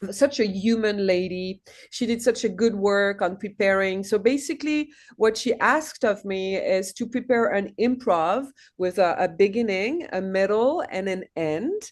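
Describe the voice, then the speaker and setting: Against a quiet background, a woman with a medium pitch speaks at a moderate pace with ordinary pitch variation. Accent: French. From France. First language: French. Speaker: actress. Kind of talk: casual chat. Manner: animated.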